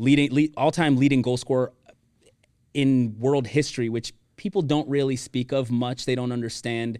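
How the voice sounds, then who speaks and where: This man has an ordinary speaking voice with an American accent, medium pitch, fairly even intonation and a moderate pace. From Miami, Florida. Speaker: event planning professional and former pro soccer player. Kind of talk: casual interview chat.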